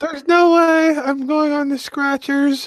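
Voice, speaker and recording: Someone uses a high-pitched put-on character voice, fairly slow and monotone, with flat intonation. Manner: mocking, dismissive.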